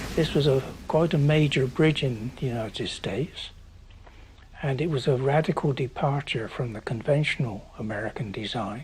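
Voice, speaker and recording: The man's voice is somewhat breathy and medium in pitch. He talks at a moderate pace with ordinary pitch variation. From England, Bristol. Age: 80s+. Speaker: retired bridge design engineer. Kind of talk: documentary interview.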